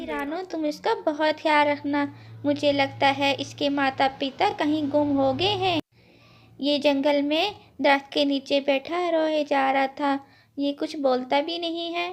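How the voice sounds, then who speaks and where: The speaker uses a cartoonish character voice pitched high. The pace is fairly slow. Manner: kindly.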